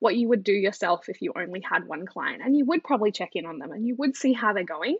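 Speaking at a fairly quick pace, a woman with an Australian accent has an energetic tone and lively intonation. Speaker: business operations coach for photographers. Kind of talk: casual interview. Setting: video call from Australia.

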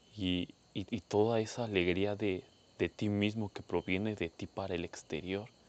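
In a Mexican accent, a man speaks at a moderate pace with a fairly low pitch and monotone, flat intonation. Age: 20s. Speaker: podcaster. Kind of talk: personal monologue.

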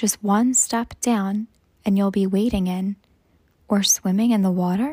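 A woman's medium-pitched, somewhat breathy voice with a gentle, soothing, dark, mellow tone, fairly slow pace, fairly even intonation and very even loudness, in a dry, close sound with no echo. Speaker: meditation guide. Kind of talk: guided meditation. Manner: slow, soothing and calm; gentle, soft-spoken with long pauses.

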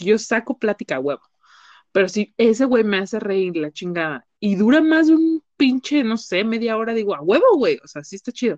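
In a dry, close recording with no echo and a quiet background, a woman with a fairly high pitch speaks at a moderate pace in an animated tone, her pitch swinging very widely. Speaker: psychologist. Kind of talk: casual chat.

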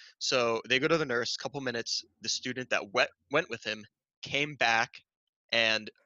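A man with an American accent talks in an ordinary speaking voice at a medium pitch with fairly even intonation. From northern New Jersey. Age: 20s. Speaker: high school biology teacher. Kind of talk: casual chat.

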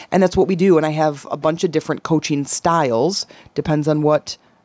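Dry and close with no echo, a woman's very deep, low voice carries a dark, mellow tone at a fairly quick pace. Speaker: podcast host. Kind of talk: casual chat, interview with her housemate. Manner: chatty, animated.

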